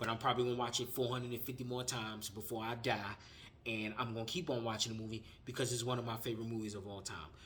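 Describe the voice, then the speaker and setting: A man speaks fairly quickly at a medium pitch in a bright, sharp tone. There is audible room echo. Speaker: film reviewer, YouTuber. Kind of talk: casual vlog review. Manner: animated; halting, stumbling over words.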